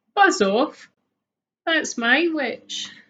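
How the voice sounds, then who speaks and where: In a put-on character voice, a woman growls in a high, shrill, croaky pitch. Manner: threatening, gruff.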